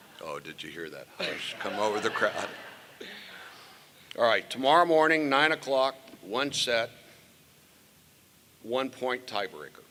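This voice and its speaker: Delivered at a fairly slow pace with lively intonation, the speech has big swings in loudness and long, frequent pauses over noticeable background noise. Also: man, medium pitch for a man. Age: 70s. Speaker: former state tennis champion presenting an award. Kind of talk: award ceremony speech with banter. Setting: stage with audience. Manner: animated.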